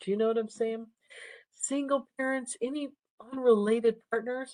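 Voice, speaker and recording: The speech is quiet, calm in tone and at a moderate pace, with a dry, close sound and no echo. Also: woman. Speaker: nursing instructor. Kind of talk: lecture.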